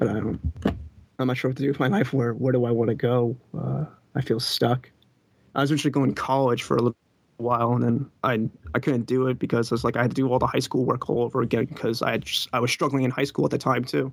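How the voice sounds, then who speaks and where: A man talks at a very fast pace with very even loudness. His voice is medium in pitch with ordinary variation and some vocal fry. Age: 20s. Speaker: caller. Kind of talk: call-in conversation.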